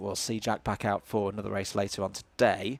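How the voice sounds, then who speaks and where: With a Yorkshire accent, a man talks at a fairly quick pace. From Yorkshire, northern England. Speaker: motorsport commentator. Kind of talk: live commentary. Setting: live stream at a kart circuit. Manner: frequent filler hesitations.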